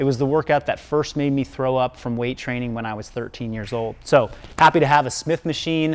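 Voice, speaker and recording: A man talks at a moderate pace with ordinary pitch variation over light background noise. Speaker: coach showing his gym. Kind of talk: tutorial. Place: gym. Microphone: lapel.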